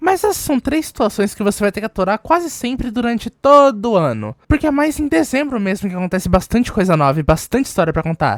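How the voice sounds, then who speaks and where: Her pitch is fairly high, and she moves at a fairly quick pace. This woman's pitch swings very widely. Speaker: youtuber and bookstore worker. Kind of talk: casual storytelling vlog. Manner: animated.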